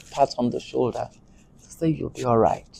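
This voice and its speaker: A woman with a Yoruba accent has a dark, mellow, somewhat breathy tone and ordinary pitch variation. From Nigeria, Lagos (Apapa Road). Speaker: actress. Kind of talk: interview.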